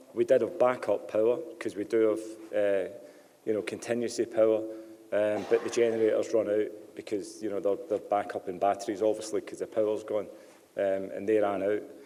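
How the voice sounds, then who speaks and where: Speaking at a fairly quick pace, a man talks with a Scottish accent. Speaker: telecom company representative. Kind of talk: public meeting Q&A. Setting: public meeting hall. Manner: hesitant, many fillers.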